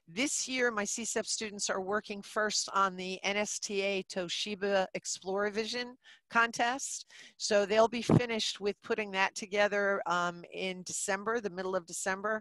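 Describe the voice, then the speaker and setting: A woman speaks with an American accent over a quiet background. The sound is dry, with no echo. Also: fairly even intonation, fairly slow pace. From New Jersey. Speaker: middle school teacher; teacher presenting in webinar. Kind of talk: webinar presentation. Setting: video call. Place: classroom. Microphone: headset.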